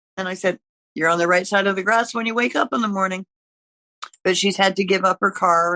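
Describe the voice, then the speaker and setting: In a Canadian accent, a woman with a bright, sharp tone and medium pitch speaks at a fairly quick pace, the sound dry and close with no echo. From eastern Canada (Ontario and Quebec). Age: 80s+. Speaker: retired nurse, podcast guest. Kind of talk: casual chat.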